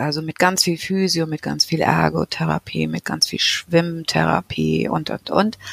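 Amid noticeable background noise, a woman speaks at a fairly slow pace with a dry, close sound that has no echo. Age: 50s. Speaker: patient with psoriasis. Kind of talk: casual interview.

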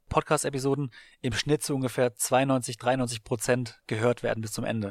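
A man in a plain, everyday voice, medium-pitched and fairly even in intonation, on a very clean recording with a silent background and a dry, close sound with no echo. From Baden-Württemberg, Germany. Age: 30s. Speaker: sports marketing podcaster and entrepreneur. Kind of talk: interview. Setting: coworking space in Berlin.

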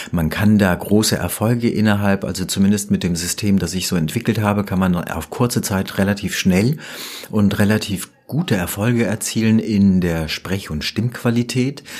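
Over noticeable background noise, a man speaks in a fairly low voice. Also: ordinary pitch variation, moderate pace. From Germany, Rüsselsheim (Hesse). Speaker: professional voice-over artist. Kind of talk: interview. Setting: studio. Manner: polished, professional.

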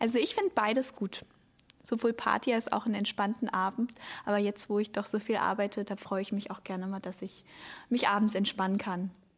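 A normal speaking voice from a woman, medium in pitch, fairly quick in pace, with fairly even intonation. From Germany, Hamburg. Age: young. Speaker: podcast host, cultural volunteer. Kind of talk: casual podcast chat.

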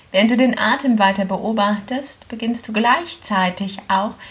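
Over noticeable background noise, a woman speaks in a gentle, calm tone at a fairly high pitch, her intonation fairly even. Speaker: yoga teacher. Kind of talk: guided meditation. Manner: slow, calm, soothing; gentle, with long pauses.

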